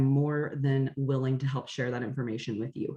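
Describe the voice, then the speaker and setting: Noticeable background noise can be heard. Over it, a woman talks at a moderate pace. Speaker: essential oils educator. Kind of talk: online class presentation.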